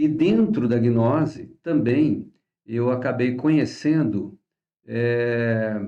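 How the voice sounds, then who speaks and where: A male voice at mid pitch, with usual pitch movement, talks extremely slowly. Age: 60s. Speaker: astrology teacher. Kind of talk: course introduction talk. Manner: casual, halting with fillers.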